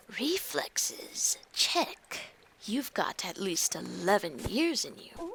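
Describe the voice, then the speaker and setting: A female-sounding, put-on character voice sits at a medium pitch for a woman. The pace is very slow. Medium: game stream.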